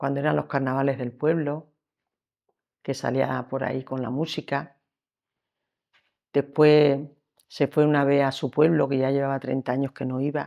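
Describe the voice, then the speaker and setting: Her voice is very deep and low, with a dark, mellow tone and monotone, flat intonation. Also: moderate pace. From Extremadura, Spain (Sierra de Gata, Cáceres). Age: 70s. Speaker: lace-making artisan. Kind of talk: life story interview. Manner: halting.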